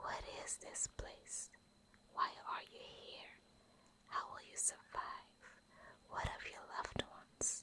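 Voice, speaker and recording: A woman whispering in a soothing tone at a very slow pace. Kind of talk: whispered bedtime story reading for sleep. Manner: whispered, soft, soothing.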